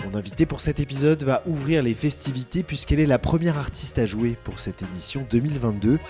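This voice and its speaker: Over music in the background, a man rattles along at a very fast pace with lively intonation and hardly any pauses. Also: medium pitch for a man. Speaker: podcast host. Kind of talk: podcast intro.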